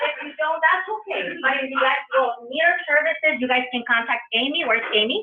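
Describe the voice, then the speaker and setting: Animated and high-pitched, a woman talks with a strong Spanish accent. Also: lively intonation, fairly quick pace. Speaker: public health trainer. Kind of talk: conference presentation.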